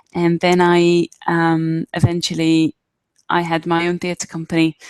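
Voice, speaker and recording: A woman speaks at a fairly slow pace and fairly low pitch with monotone, flat intonation. The sound is dry and close, with no echo. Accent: strong Israeli. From Israel. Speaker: arts fundraising trainer. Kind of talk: online workshop presentation. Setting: live video webinar. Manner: hesitant, many fillers.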